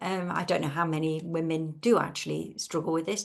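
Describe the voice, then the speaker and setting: With an English accent, a woman talks at a moderate pace. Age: 60s. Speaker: webinar host. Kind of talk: casual chat.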